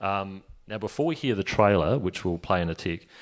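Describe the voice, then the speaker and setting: Very cleanly recorded against a silent background, a man with a fairly low pitch uses an ordinary speaking voice with ordinary pitch variation. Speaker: podcast network manager and interviewer. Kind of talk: conference panel Q&A.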